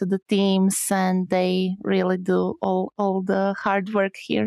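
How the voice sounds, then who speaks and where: Against a quiet background, a woman speaks at a very slow pace with a dry, close sound and no echo. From Croatia. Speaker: mentor and project manager. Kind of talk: casual interview.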